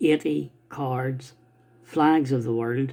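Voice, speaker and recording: A man speaks with an Irish accent. His pitch is medium. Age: 60s. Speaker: stamp collector. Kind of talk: casual talk to camera. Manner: halting.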